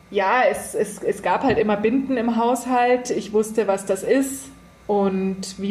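A woman talks with fairly even intonation. Noticeable background noise can be heard. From Germany, rural. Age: 30s. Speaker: columnist. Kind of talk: casual interview.

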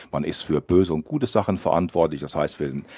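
A man speaks in a very deep, low voice with ordinary pitch variation, recorded dry and close with no echo. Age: 60s. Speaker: local politician, parliamentary candidate. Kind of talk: radio interview.

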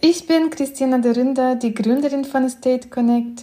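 A woman speaks at a moderate pace in a high pitch. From Belarus. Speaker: real estate agent and company founder. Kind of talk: informational talk, video audio. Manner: hesitant with fillers.

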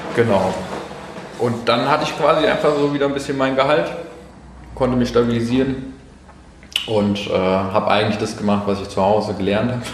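Over noticeable background noise and audible room echo, a man speaks at a medium pitch and a fairly quick pace. He stops often for long pauses. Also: ordinary pitch variation. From Hessen, Germany. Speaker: photographer and videographer. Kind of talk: casual chat. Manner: halting.

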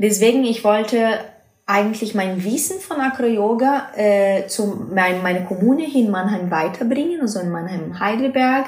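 A woman with a Brazilian accent speaks at a moderate pace and a fairly high pitch, using ordinary pitch variation. Noticeable background noise and audible room echo are present. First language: Portuguese (speaking German). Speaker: acro yoga teacher and project manager. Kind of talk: interview. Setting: recorded in person in a house library. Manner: halting, non-native with fillers.

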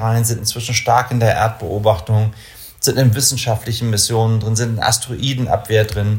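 A man's somewhat breathy voice at medium pitch. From northern Germany, Kiel (Baltic coast). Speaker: company executive in the space industry. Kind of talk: interview. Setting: office.

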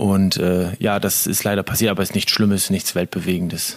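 The speaker is male. He talks in a fairly low register. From northern Germany, Lower Saxony near Bremen. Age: 30s. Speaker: handball player. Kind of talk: casual interview.

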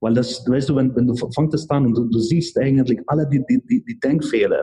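A man with a Hungarian accent speaks at a medium pitch with lively intonation. His voice is somewhat breathy, with a dark, mellow tone. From Hungary. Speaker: chemist and real estate investor. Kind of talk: casual interview. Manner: halting.

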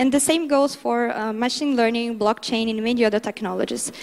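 This woman has a Portuguese accent and a fairly high pitch. Her pitch varies an ordinary amount. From Brazil. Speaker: international development speaker. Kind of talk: conference talk.

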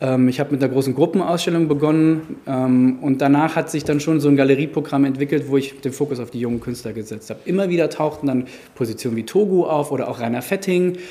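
Talking at a very fast pace with hardly any pauses, a man keeps ordinary pitch variation. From Germany, Frankfurt. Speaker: gallery owner. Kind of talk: interview. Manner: hesitant, many filler sounds.

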